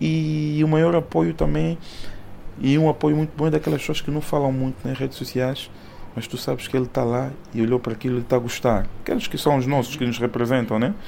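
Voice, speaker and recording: Lively intonation from a man at medium pitch, moving at a fairly quick pace. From Angola, Soyo. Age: 30s. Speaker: music producer and bank employee. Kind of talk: interview. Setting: at his home. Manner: halting, repeats words.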